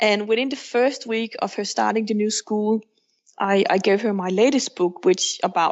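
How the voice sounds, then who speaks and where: A woman talks with a Danish accent at a moderate pace. Her pitch is fairly high. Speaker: author and counselor, single mother by choice. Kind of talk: podcast interview.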